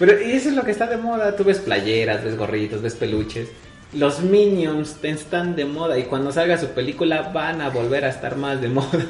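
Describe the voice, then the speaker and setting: With music in the background and audible room echo, a man speaks at a moderate pace in a fairly high voice full of very wide pitch swings. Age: young. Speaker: podcast co-host. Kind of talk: casual chat. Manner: laughs often.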